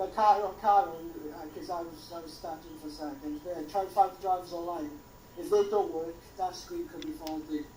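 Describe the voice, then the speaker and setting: Over noticeable background noise, a woman speaks at a fairly low pitch with ordinary pitch variation. Her loudness swings widely. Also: moderate pace. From Wales. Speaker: tech helper in live stream. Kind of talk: casual tech troubleshooting chat.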